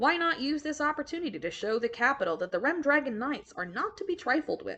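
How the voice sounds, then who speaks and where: A woman speaks at a very fast pace in a put-on character voice, her pitch high. Her pitch swings very wide. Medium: read story. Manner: measured.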